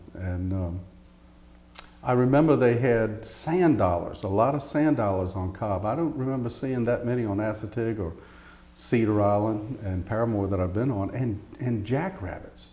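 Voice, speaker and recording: A man with an American accent speaks at a medium pitch with ordinary pitch variation, and audible room echo surrounds his voice. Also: moderate pace. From Eastern Shore of Virginia. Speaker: oral history interviewee. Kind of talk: oral history interview. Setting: interview at a heritage center.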